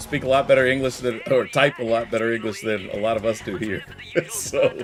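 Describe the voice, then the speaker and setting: Noticeable background noise sits behind a man speaking with an American accent at a fairly quick pace. His medium pitch has ordinary variation. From US. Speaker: streamer. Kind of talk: casual chat. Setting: live stream. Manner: halting.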